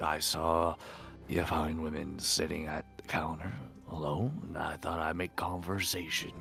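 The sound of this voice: A man uses a put-on character voice at an extremely low pitch with vocal fry, little pitch movement and a fairly bright tone. He goes at a fairly slow pace while faint music plays in the background.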